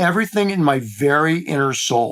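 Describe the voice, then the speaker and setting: A man with a Midwestern accent and lively intonation on a very clean recording with a silent background. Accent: American Midwest. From US Midwest, Cleveland, Ohio. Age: 60s. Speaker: former beauty industry executive. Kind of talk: podcast interview.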